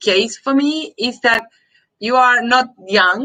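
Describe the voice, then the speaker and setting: Her tone is bright and sharp, with a high pitch and lively intonation. This woman speaks at a fairly slow pace in a Spanish accent. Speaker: host of adoptee search live stream. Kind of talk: live stream interview. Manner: halting.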